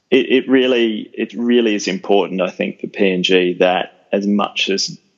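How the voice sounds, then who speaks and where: The speaker has an Australian accent. The delivery moves at a fairly slow pace. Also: man. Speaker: policy researcher, former journalist. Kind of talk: interview.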